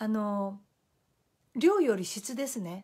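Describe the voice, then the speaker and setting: A woman with lively intonation over a quiet background. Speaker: Facebook live host, life-planning and feng shui coach. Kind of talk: motivational talk. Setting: live video broadcast. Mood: warm, friendly. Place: home room.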